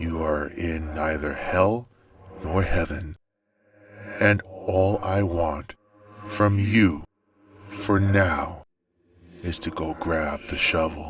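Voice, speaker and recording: A man puts on a character voice with a very deep, low pitch and fairly even intonation, going at a very slow pace with long, frequent pauses as faint music plays behind him. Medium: read story. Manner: ominous, cryptic.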